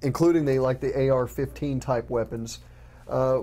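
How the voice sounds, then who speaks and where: The tone is dark and mellow, with a slight Texas accent. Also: man. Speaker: news reporter and co-host. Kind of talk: casual news chat. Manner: halting, with repetitions.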